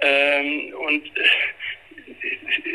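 Noticeable noise sits in the background. The voice belongs to a man. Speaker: family counselor and author. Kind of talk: interview. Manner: halting with many fillers.

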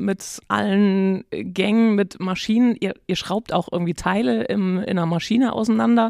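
An unremarkable speaking voice from a woman at medium pitch, with ordinary pitch variation and a fairly slow pace, is captured in a dry, close sound with no echo on a very clean recording with a silent background. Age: 50s. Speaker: podcast host. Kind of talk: interview.

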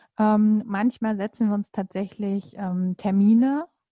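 A woman's medium-pitched, somewhat breathy voice with a dark, mellow tone and fairly even intonation, recorded dry and close with no echo against a quiet background. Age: 30s. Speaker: coach and mother. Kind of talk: casual interview. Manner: hesitant with many fillers.

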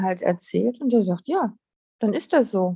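Medium pitch and moderate pace in a woman's unremarkable speaking voice. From Lower Saxony, Germany. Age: 50s. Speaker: artist and spiritual guide. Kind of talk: casual interview chat.

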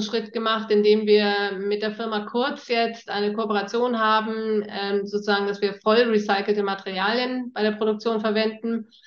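Against noticeable background noise, a woman talks fairly slowly at a fairly high pitch in a monotone, flat way. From northern Germany, near East Frisia. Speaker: startup founder. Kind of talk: interview. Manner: hesitant fillers.

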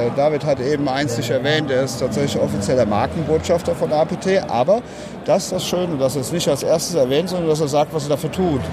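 Over noticeable background noise, a man speaks at a moderate pace and fairly high pitch with ordinary pitch variation. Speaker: prosthetics company representative. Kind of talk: interview. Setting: trade fair stand.

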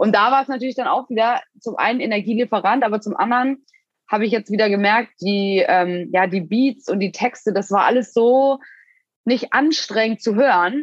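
A woman with a plain, everyday voice, fairly high in pitch, with ordinary pitch variation. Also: moderate pace. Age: 20s. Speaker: athlete and fitness influencer. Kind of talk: casual chat.

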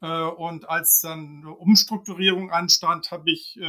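This is a man speaking. His pitch is high. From Hamburg, northern Germany. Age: 50s. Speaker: team leader. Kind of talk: interview.

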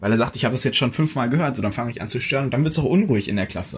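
A somewhat breathy man at a very fast pace, his intonation lively. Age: young. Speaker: young startup founder. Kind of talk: interview.

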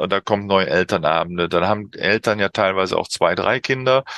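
A man talks at a moderate pace with a fairly low pitch and a bright, sharp tone. The sound is dry and close with no echo, and the background is quiet. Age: middle-aged. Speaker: youth football coach. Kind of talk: interview. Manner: halting, many fillers.

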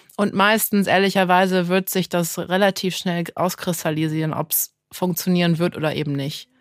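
In an unremarkable speaking voice, a woman talks at a moderate pace and a fairly low pitch with fairly even intonation and hardly any pauses, captured in a dry, close sound with no echo on a very clean recording with a silent background. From Düsseldorf, Germany and Santa Barbara, California. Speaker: start-up founder. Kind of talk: interview.

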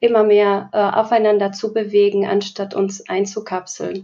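At a moderate pace, a woman is talking. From Slovakia. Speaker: diversity educator. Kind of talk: podcast interview.

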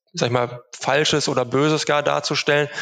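The man's intonation stays monotone and flat. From Germany, Unna (Ruhr area, Westphalia). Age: 30s. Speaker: travel company managing director. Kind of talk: interview. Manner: many filler sounds (ähm, äh).

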